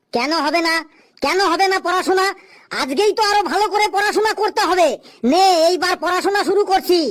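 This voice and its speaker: A put-on character voice at an extremely high pitch and a fairly quick pace. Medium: comedy sketch. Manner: bossy, lecturing.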